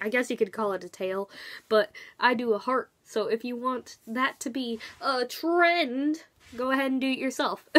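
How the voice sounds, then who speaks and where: A woman's high-pitched voice with ordinary pitch variation at a moderate pace against a quiet background. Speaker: vlogger. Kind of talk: casual vlog chat. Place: home room. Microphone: webcam.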